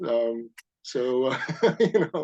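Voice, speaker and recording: Lively intonation colors a man's dark, mellow tone. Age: 60s. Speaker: science fiction author and amateur astronomer. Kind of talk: casual interview chat. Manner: hesitant, many fillers.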